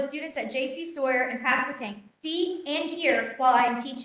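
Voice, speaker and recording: Loud and fairly quick, a woman speaks in a high pitch with ordinary pitch variation. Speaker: teacher. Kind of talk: presentation. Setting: board meeting.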